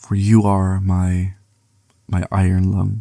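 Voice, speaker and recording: His voice is somewhat breathy, with a dark, mellow tone and a fairly low pitch for a man. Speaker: ASMR creator. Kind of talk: poetry reading.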